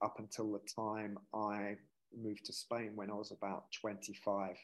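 A man speaks at a fairly slow pace and a fairly low pitch.

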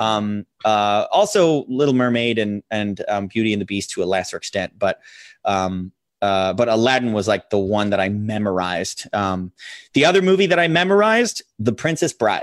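A man with an American accent speaks in a normal speaking voice at a fairly low pitch and moderate pace, his intonation lively, the sound dry and close with no echo over a quiet background. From US, small town. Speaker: podcast co-host. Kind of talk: casual chat.

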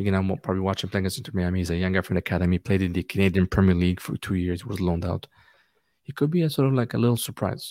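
A man with a very deep, low pitch and a dark, mellow tone talks at a very fast pace, the sound dry and close with no echo. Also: ordinary pitch variation. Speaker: soccer fan and podcaster. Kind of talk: casual chat. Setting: video call. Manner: soft-spoken, quiet.

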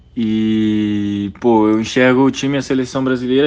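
His intonation stays fairly even. The voice belongs to a man. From Brazil, Brasília. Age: 20s. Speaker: professional basketball player. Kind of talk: casual interview.

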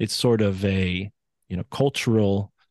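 Against a quiet background, a man with a fairly low pitch speaks in an East Coast American accent. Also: dry, close sound with no echo. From US East Coast. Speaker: independent researcher and podcaster. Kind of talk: interview conversation.

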